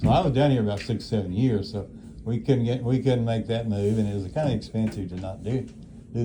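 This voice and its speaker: A man with a fairly low pitch and a dark, mellow tone speaks at a fairly quick pace, his intonation fairly even. His voice is somewhat breathy, and room echo is audible. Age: 80s+. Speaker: elderly nursing home resident. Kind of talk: casual chat. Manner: halting.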